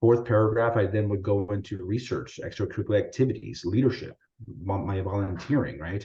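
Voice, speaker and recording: Against a quiet background, a man with a Spanish accent talks at a fairly quick pace, his voice fairly low in pitch with ordinary pitch variation. The tone is dark and mellow, and somewhat breathy. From US, Salvadoran immigrant family. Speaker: physician presenter. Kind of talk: webinar presentation. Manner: casual, many fillers like right and you know.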